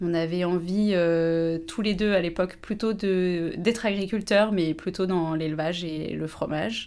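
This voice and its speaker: Her voice fairly low, a woman talks at a fairly slow pace with fairly even intonation. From Haute-Savoie, France. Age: 30s. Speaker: winegrower. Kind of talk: casual interview. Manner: hesitant, with many fillers.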